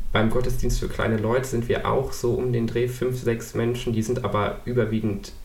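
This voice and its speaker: A man speaks with fairly even intonation, and the room echo is audible. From Düsseldorf, western Germany. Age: 20s. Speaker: law student and church youth volunteer. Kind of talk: casual interview.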